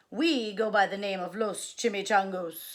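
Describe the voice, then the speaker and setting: A woman's put-on character voice, gruff and growling, medium in pitch with ordinary pitch variation and moderate pace, on a very clean recording with a silent background. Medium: read story. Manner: solemn, gruff.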